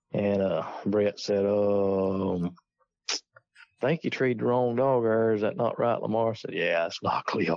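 This man talks with a Southern US accent at a fairly low pitch. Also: fairly even intonation, fairly slow pace. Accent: Southern US rural. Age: 50s. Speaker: coon hunter. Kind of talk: casual chat.

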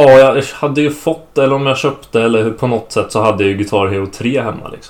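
A man talks in a normal speaking voice at a moderate pace with ordinary pitch variation. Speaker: host's son, guest. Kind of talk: casual family conversation.

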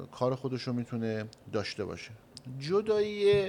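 A man speaks at a fairly slow pace in a medium pitch, with very wide swings up and down. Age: young. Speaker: chamber of commerce head. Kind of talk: radio interview. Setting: studio.

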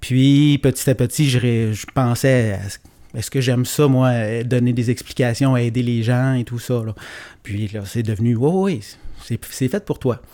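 A man's dark, mellow voice at medium pitch and a fairly slow pace. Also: ordinary pitch variation, very clean recording, silent background. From Quebec, Gaspésie. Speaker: teacher turned entrepreneur. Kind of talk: casual chat.

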